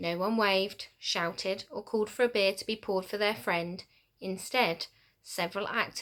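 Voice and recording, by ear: Someone is reading aloud in a natural voice.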